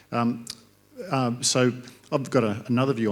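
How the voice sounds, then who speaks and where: In an Australian accent, a man speaks at a moderate pace. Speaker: industry panelist. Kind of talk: panel discussion.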